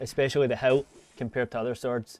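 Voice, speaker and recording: A man speaks at a medium pitch with monotone, flat intonation. The sound is dry and close with no echo, and music plays in the background. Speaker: gaming streamer. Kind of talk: live gameplay stream commentary. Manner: fast; casual, loosely articulated.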